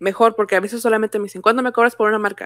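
A woman's voice, dry with no echo, over a quiet background. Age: 20s. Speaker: graphic designer and fan artist; podcast guest. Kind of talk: casual chat. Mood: cheerful, relaxed. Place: home room.

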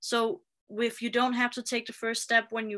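This woman has a fairly high voice. Her tone is bright and sharp. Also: quiet background. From Denmark. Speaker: video marketing specialist; interview guest. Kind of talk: interview guest, personal story. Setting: remote live video call. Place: home room. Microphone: video call.

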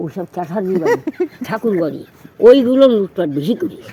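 A woman's somewhat breathy voice, dark and mellow in tone, with very wide pitch swings. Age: 80s+. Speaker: elderly local resident. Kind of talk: oral history interview. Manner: outspoken.

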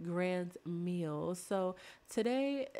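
The woman's fairly low voice has a slightly mellow tone and ordinary pitch variation.

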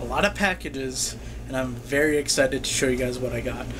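Speech comes at a fairly quick pace over noticeable background noise. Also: man. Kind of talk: casual vlog chat, unboxing. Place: kitchen. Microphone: phone near.

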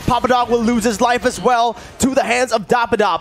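A man speaks in a high voice over music in the background. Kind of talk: esports shoutcasting. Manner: rapid-fire, excitable play-by-play with sudden exclamations.

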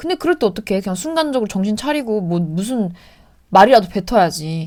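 A woman's fairly high voice rises and falls in very wide pitch swings on a very clean recording with a silent background. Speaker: actress and vlogger. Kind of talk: casual Q&A vlog. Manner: calm.

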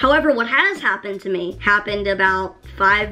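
A woman with a medium pitch and ordinary pitch variation talks through noticeable background noise. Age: 20s. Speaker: YouTuber. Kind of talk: storytime monologue. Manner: animated.

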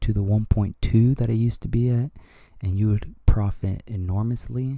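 Quiet and dark, mellow in tone, a man speaks at a moderate pace on a very clean recording that is dry and close with no echo, over a silent background. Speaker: crypto YouTuber. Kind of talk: casual market commentary. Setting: at home early morning. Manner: quiet, talking low.

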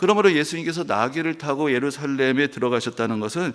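At a fairly quick pace, a man with an unremarkable speaking voice talks at a fairly high pitch. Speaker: pastor. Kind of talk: sermon.

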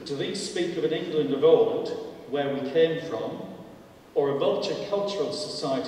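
A man talks amid strong room echo. Light background noise is present too. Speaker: panel speaker. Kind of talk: public lecture. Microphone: podium.

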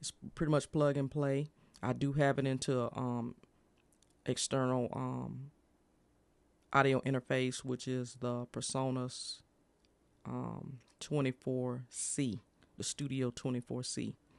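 Delivered at a fairly slow pace with long, frequent pauses, the speech is monotone and flat in intonation, with a dry sound and no echo. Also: man. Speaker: streamer reviewing a microphone. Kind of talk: casual product review chat. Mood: pleased, impressed. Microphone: studio mic.

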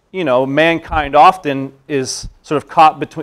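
Over a quiet background, a man is speaking. His pitch varies in an ordinary way. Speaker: presenter. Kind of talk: lecture. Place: meeting room.

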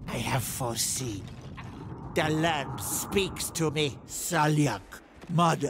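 A man puts on a character voice with a fairly high pitch over clear background noise. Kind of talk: video game voice lines. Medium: dub.

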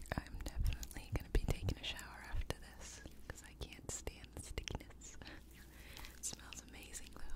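Whispered speech comes from a woman. She moves along at a moderate pace. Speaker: ASMR creator. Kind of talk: ASMR whispering for sleep. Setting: home studio microphone. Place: home room. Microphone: studio mic.

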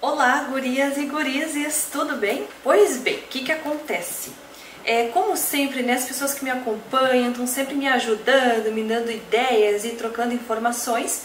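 In a room with audible echo and light background noise, a woman speaks at a high pitch. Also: ordinary pitch variation, moderate pace. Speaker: beauty product seller. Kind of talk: casual vlog chat. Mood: warm, grateful, a bit emotional. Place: home room.

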